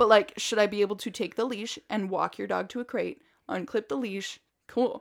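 On a very clean recording with a silent background, a woman with a medium pitch speaks with vocal fry and ordinary pitch variation. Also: moderate pace. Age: 20s. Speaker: dog trainer podcast co-host. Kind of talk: casual chat. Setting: studio in a dog kennel.

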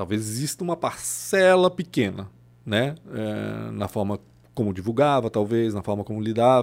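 Using a plain, everyday voice, a man speaks at a medium pitch and moderate pace with lively intonation. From southern Brazil, Blumenau (born in Chile). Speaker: journalist. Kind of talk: casual chat.

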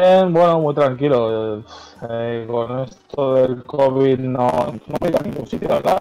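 There is noticeable background noise behind this man. His voice sits at a medium pitch with ordinary pitch variation. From Madrid, Spain (Parla). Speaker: freestyle rapper. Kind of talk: casual chat. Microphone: poor microphone sound.

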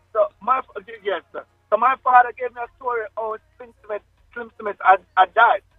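A man speaks at a moderate pace in an extremely high pitch, with ordinary pitch variation, big swings in loudness, and music in the background. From Jamaica, Kingston. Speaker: reggae singer. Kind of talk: interview.

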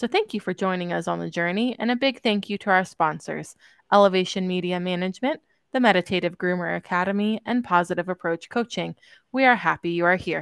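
On a very clean recording with a silent background and a dry, close sound with no echo, a woman with a plain, everyday voice speaks in a medium pitch with ordinary pitch variation. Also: fairly quick pace. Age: 30s. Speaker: podcast host and groomer. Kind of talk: scripted podcast intro.

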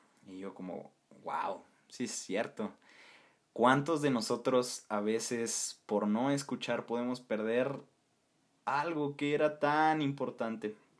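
A man speaks at a very slow pace with long, frequent pauses. The recording is very clean, with a silent background. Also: medium pitch for a man, ordinary pitch variation. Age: 20s. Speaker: podcast host, university student. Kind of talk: solo podcast monologue.

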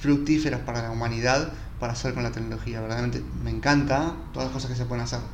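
A man rattles along at a very fast pace, with noticeable background noise and audible room echo. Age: 30s. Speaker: podcast host. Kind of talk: solo reflective monologue. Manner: relaxed, casual.

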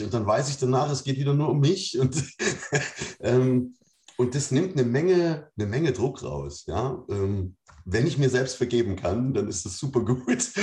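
The voice is somewhat breathy, with a dark, mellow tone. Intonation is lively and the pace fairly slow. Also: man, medium pitch for a man. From East Germany. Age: 40s. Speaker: podcast guest. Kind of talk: casual chat.

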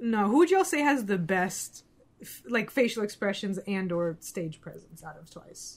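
This woman talks at a moderate pace with lively intonation. Her loudness swings widely. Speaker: podcast co-host. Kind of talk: casual chat. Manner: animated.

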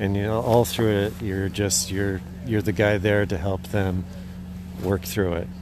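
Audible room echo surrounds a man with a fairly low pitch. He speaks at a fairly slow pace with fairly even intonation. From Idaho. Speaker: dog musher and tour guide. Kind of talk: interview.

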